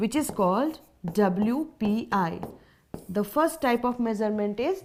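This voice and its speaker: In an Indian accent, a woman's dark, mellow voice swings very widely in pitch on a very clean recording with a silent background. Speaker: teacher. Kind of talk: lecture. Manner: slow; repetitive, deliberate.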